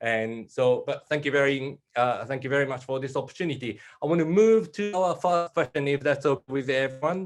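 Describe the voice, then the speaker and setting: With a Japanese accent, a man talks at a fairly quick pace and fairly high pitch, with ordinary pitch variation. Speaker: panel moderator. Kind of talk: panel discussion.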